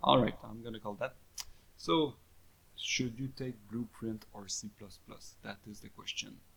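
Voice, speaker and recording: This is a man speaking with a French accent. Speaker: game development tutor. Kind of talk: tutorial. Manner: halting.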